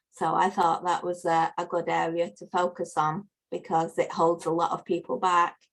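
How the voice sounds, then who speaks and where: This speaker has a northern English accent and talks at a moderate pace with hardly any pauses. The intonation stays monotone and flat. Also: woman, fairly low pitch for a woman. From northern England. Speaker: life coach. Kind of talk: podcast interview.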